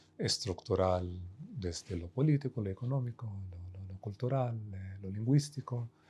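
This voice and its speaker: On a very clean recording with a silent background, a man with an Arabic accent speaks at a fairly slow pace and fairly low pitch, his tone dark, mellow and somewhat breathy, with ordinary pitch variation. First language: Arabic (speaking Spanish). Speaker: professor. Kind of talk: interview. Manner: hesitant, many fillers and repetitions.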